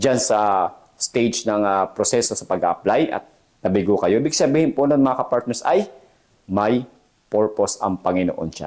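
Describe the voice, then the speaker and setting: This man's voice holds a medium pitch, moving at a moderate speed with ordinary pitch variation. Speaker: jail officer and career vlogger. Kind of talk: motivational pep talk to applicants. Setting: solo video address to camera. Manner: earnest, emphatic, encouraging, repeats "okay?" often.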